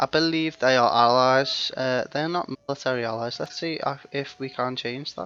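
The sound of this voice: A man speaks at a moderate pace in a clear, smooth tone that is also bright and sharp. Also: medium pitch for a man, ordinary pitch variation.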